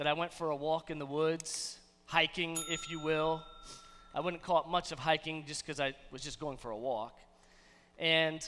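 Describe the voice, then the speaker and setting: A man speaks at a moderate pace with fairly even intonation. Long, frequent pauses break up his speech over light background noise. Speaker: pastor. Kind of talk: sermon. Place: church. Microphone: headset.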